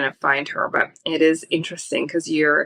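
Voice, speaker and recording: A woman with a slight East Coast US accent speaks at a moderate pace, the sound dry and close with no echo. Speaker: film reviewer. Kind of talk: casual chat. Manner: animated.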